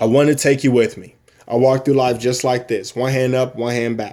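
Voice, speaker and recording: The man's voice has a dark, mellow tone. Its pitch is medium. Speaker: active duty military member promoting a business. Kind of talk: personal testimony and sales pitch video. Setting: recorded at home, wife downstairs. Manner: loud; long-winded, emphatic.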